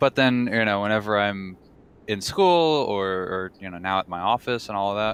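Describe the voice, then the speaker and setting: Speaking at a moderate pace with a slight Texan accent, a man uses a fairly low pitch and ordinary pitch variation. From Texas. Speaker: gamer. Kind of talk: casual chat. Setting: live stream.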